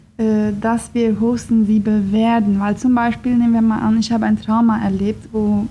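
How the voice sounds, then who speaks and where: A woman speaks in a fairly high, somewhat breathy voice with a dark, mellow tone. Her intonation stays flat and monotone. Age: 20s. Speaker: psychologist. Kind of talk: interview.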